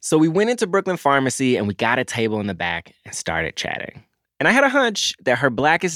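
In a very clean recording with a silent background and a dry, close sound with no echo, a man with an American accent talks at a fairly quick pace, his fairly high pitch making very wide swings. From US South. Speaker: podcast co-host. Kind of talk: casual chat. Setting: in a shop.

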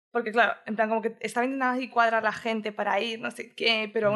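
Delivery here is very fast. The rise and fall of the voice remains fairly even. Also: woman. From Madrid, Spain, with Andalusian family. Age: 20s. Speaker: podcast guest, delivery worker and nanny. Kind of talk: casual interview chat. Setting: home studio.

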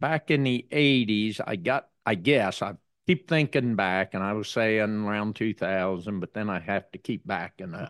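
With an American accent and an ordinary speaking voice, the speaker talks at a moderate pace with lively intonation and hardly any pauses, in a dry, close sound with no echo. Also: man, fairly low pitch for a man. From southeastern Indiana. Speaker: farmer. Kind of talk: interview. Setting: on-the-road studio at a conference.

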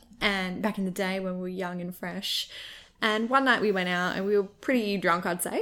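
This woman has an Australian accent and a bright, sharp tone at a medium pitch. She keeps a moderate pace and fairly even intonation in a very clean recording with a silent background. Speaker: podcast host. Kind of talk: casual chat.

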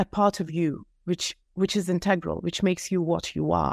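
In an Eastern European accent, a woman speaks at a moderate pace. The very clean recording has a silent background and a dry, close sound with no echo. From Soviet Union. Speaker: author and company co-founder. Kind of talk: interview.

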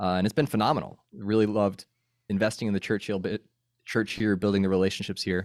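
A man at a very fast pace and a fairly low pitch, with an American accent, on a very clean recording with a silent background. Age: 30s. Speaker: podcaster and former campus minister. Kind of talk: casual interview.

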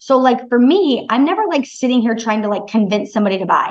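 Talking at a fairly quick pace, a woman with an American accent uses a fairly high pitch. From Michigan, US Midwest. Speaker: sales coach. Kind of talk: casual interview chat.

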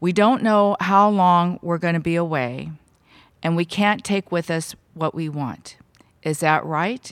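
Here is a woman with a plain, everyday voice at a fairly low pitch. She talks at a fairly slow pace with ordinary pitch variation. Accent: American. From California, Bay Area. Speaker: civil rights advocate. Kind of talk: interview.

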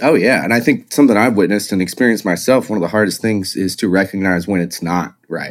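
A man's fairly low voice at a very fast pace, hardly any pauses and ordinary pitch variation. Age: 30s. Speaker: concert photographer. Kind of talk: casual chat.

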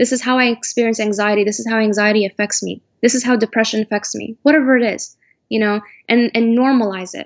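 A woman with an American accent talks at a very fast pace. Her pitch is fairly high and her intonation fairly even. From United States. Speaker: doctoral student in counseling psychology. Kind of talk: interview.

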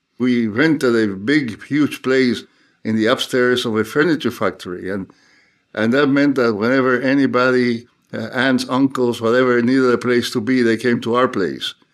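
The speaker has a Cuban accent and a moderate pace, with fairly even intonation. The recording is very clean, with a silent background. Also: man, medium pitch for a man. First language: Spanish. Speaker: theologian and professor. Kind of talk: interview conversation.

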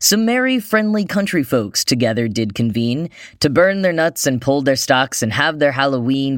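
A General American accent at a moderate pace, with hardly any pauses and very even loudness, on a very clean recording with a silent background. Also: man. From United States. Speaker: podcast host. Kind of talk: scripted news-style podcast narration.

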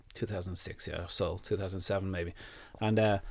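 A man with an Irish accent talks on a very clean recording against total silence. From Ireland. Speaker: dog nutritionist. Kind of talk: casual interview. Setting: studio.

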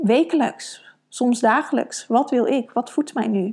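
A woman's fairly high voice at a very slow pace. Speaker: podcast host and women's coach. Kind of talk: solo podcast monologue. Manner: many fillers and hesitations.

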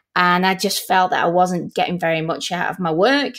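A woman with a Manchester accent talks at a moderate pace in a very clean recording with a silent background. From Manchester, England. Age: 40s. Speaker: learning experience designer. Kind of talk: interview.

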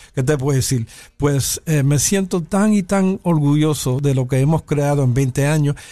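A man with a fairly high pitch and a dark, mellow tone speaks at a fairly slow pace, with ordinary pitch variation and very even loudness. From New York (South Bronx). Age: 60s. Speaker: pianist and bandleader. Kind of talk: interview.

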